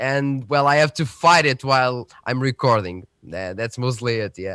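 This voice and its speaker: A man with a Portuguese accent and a bright, sharp tone speaks at medium pitch and a moderate pace with ordinary pitch variation, on a very clean recording with a silent background and a dry, close sound with no echo. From central Portugal. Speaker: tech youtuber. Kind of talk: casual chat. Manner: halting.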